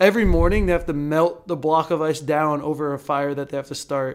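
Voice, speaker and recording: A normal speaking voice, a man's, fairly high in pitch and at a moderate pace, on a very clean recording with a silent background. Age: 20s. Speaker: professional volleyball player. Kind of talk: casual chat.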